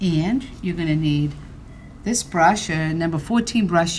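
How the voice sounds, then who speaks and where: A woman speaks with a Boston accent. Her pace is moderate. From Boston, Massachusetts. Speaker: ceramics painting teacher. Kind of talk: tutorial. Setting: indoor studio, filmed on camera. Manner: casual, joking.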